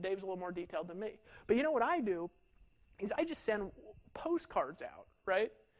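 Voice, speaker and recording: With an animated tone and lively intonation, a man speaks fairly quickly in a high voice. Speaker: online marketing trainer. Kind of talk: sales training talk. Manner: fast.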